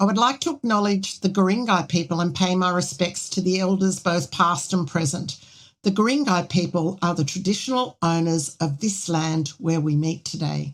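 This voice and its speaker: On a very clean recording with a silent background, a woman has a normal speaking voice with fairly low pitch. Her pitch variation is ordinary, her pace moderate and her loudness very even. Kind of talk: podcast host introduction.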